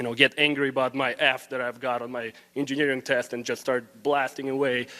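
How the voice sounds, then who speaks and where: A fairly high-pitched man with a Russian accent, at a fairly quick pace. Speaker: student. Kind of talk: public forum comment. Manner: hesitant with fillers.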